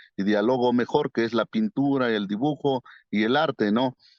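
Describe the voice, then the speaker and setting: This man has an Oaxacan accent and a medium pitch. He talks at a fairly slow pace. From Mazatec highlands, Oaxaca, Mexico. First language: Mazatec (speaking Spanish). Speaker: painter. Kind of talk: interview. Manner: halting, many fillers.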